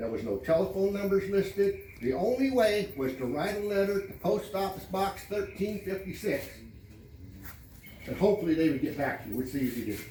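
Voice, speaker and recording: Loud and at a fairly quick pace, a man with a high pitch talks with lively intonation amid audible room echo. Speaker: homeowners association president. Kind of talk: community meeting address. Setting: public meeting with audience. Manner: loud, raised voice; blunt, brusque.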